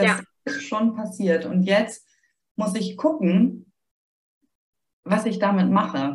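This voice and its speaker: Speaking with a Hamburg accent, a woman talks at a very slow pace. She leaves long, frequent pauses. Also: medium pitch for a woman, ordinary pitch variation. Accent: sweet Hamburg-style northern German. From northern Germany, Heligoland. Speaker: grief support author. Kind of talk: podcast interview.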